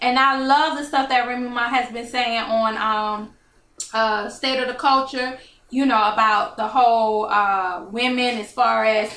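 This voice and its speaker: Her voice high in pitch and bright, sharp in tone, a woman speaks at a fairly slow pace with fairly even intonation amid audible room echo. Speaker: talk show host. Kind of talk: casual chat. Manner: slurring slightly.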